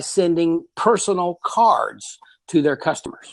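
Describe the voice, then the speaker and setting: With ordinary pitch variation, a man talks in a high register. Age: 60s. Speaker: business owner, co-author. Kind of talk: interview. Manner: repetitive false starts.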